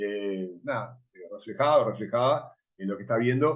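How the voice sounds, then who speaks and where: A man talks in a medium pitch. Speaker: film festival director. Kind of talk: panel discussion. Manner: fast.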